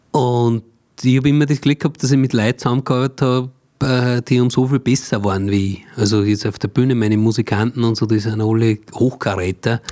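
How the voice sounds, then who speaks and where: A man's dark, mellow tone in a medium pitch, at a fairly quick pace, with very even loudness and fairly even intonation. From Austria, Mühlviertel (Upper Austria). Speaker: cabaret artist and songwriter. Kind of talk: casual interview.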